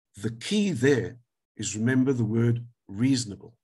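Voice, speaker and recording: This man's voice is somewhat breathy, moving fairly slowly with ordinary pitch variation. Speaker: advocate, legal speaker. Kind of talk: webinar lecture.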